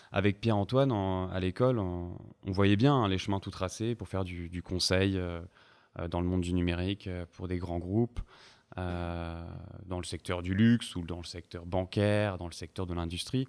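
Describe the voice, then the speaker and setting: In a very clean recording with a silent background, a man with a very deep, low voice speaks fairly slowly and with fairly even intonation. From southern France, Montpellier. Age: 20s. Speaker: startup founder. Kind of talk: interview.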